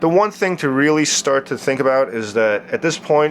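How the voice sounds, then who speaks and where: Male speaker at a fairly quick pace, with very wide pitch swings. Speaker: liquid light show artist. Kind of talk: tutorial. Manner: casual, filler-heavy; fast.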